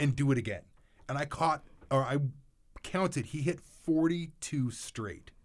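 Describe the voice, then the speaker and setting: A man's fairly high-pitched voice at a fairly slow pace, with ordinary pitch variation and long, frequent pauses. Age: 30s. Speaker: podcast co-host. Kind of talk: casual chat. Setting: studio.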